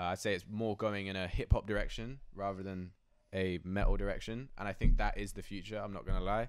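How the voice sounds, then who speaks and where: Over a silent background in a very clean recording, a man talks fairly quickly with a fairly low pitch, fairly even intonation and big swings in loudness. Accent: southern English. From southern England, Oxfordshire. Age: 20s. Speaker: trap metal rapper. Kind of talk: casual interview. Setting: in person, New York. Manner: casual, filler-heavy.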